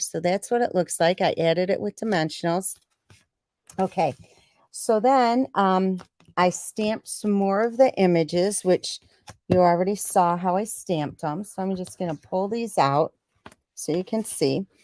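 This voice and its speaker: Speaking at a moderate pace with an American accent, a woman has a medium-pitched, dark, mellow tone and ordinary pitch variation, recorded with a dry, close sound and no echo. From Michigan, US Midwest. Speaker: craft demonstrator, stamping business team leader. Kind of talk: live-stream craft tutorial. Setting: weekly live stream on YouTube. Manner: talking quietly; casual, halting with fillers.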